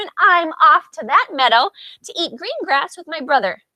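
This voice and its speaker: A woman adopts a put-on, squeaky character voice, pitched extremely high and moving at a moderate pace. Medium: read story.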